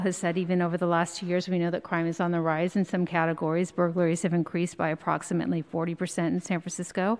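Very fast, flat, monotone speech from a woman with a fairly low pitch and hardly any pauses. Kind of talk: prepared hearing statement. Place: hall. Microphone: podium.

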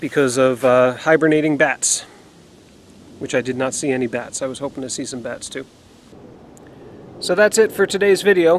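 Over light background noise, a man talks at a fairly quick pace, the sound dry with no echo. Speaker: outdoor explorer vlogger. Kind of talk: casual vlog chat. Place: forest. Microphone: phone near.

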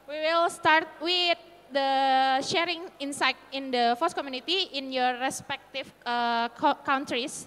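A woman with an Indonesian accent speaks at a fairly slow pace with hardly any pauses, using a high pitch and ordinary pitch variation. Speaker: panel moderator. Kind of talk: panel moderation. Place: hall. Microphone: handheld.

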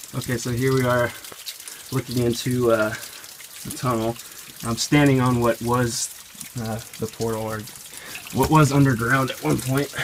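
With noticeable background noise, a man speaks at a moderate pace in fairly even intonation, leaving long, frequent pauses. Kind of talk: casual exploration commentary. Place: forest. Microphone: phone near.

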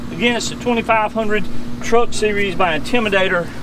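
A man's raised, projected voice comes through dry with no echo, with noticeable background noise. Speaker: equipment salesman. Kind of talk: product demonstration. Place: open country. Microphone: camera far.

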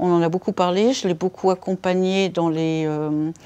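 Her tone dark and mellow, a woman talks at a fairly slow pace with fairly even intonation. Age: 60s. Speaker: patient with polycystic kidney disease. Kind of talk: casual chat, patient testimony. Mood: calm, reflective. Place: home room.

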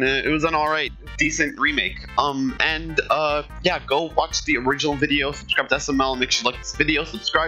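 Faint music can be heard behind the speaker. He is a man talking fairly quickly. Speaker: reaction youtuber. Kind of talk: casual reaction commentary and outro. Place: home room. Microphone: headset.

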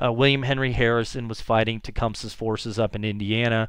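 A man's plain, everyday voice at a medium pitch, with fairly even intonation. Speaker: history teacher. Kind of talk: lecture. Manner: frequent filler words.

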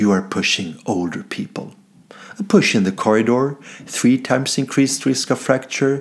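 A man speaks with a Swedish accent over a quiet background. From Sweden. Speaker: comedian. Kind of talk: mock scientific presentation. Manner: formal. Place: home room. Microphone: webcam.

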